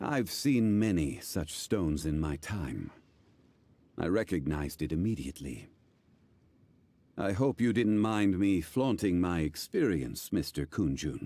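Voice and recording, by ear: Using a put-on character voice, a man speaks slowly at a low pitch in a dark, mellow tone, with big swings in pitch.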